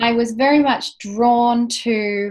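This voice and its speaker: A woman speaks with an Australian accent at a fairly high pitch. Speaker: spiritual author, former park ranger. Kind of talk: interview.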